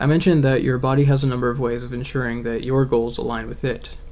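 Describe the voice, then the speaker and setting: A man talking very fast at a medium pitch, his intonation fairly even, with audible room echo. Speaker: atheist video blogger. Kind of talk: video essay monologue. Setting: bedroom. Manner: monotone.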